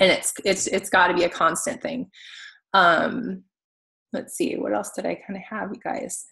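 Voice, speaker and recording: Her tone bright and sharp with vocal fry, a woman of medium pitch speaks at a moderate pace with lively intonation and big swings in loudness. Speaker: fitness coach. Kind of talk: training talk to team.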